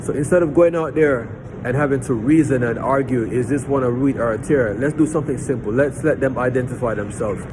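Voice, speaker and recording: A man at medium pitch, very fast and with hardly any pauses, ordinary pitch variation, amid noticeable background noise. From Jamaica. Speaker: lay preacher. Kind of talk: storytelling; informal Bible teaching. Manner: halting, with many repeated words.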